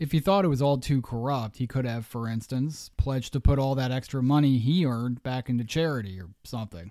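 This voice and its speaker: A man's medium-pitched voice in a Pennsylvania accent, with a dark, mellow tone, ordinary pitch variation, a fairly quick pace, and a very clean recording over a silent background. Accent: Mid-Atlantic US (Pennsylvania). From southeastern Pennsylvania. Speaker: history podcast host. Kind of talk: scripted narration.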